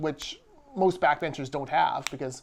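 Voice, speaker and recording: A man at a very fast pace. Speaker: business association communications vice president, podcast co-host. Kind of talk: casual podcast talk.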